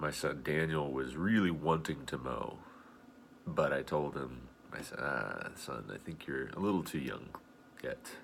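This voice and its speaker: Vocal fry at a fairly slow pace, with audible room echo. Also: man, very deep, low pitch for a man, ordinary pitch variation. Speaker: video blogger. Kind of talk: casual video blog monologue.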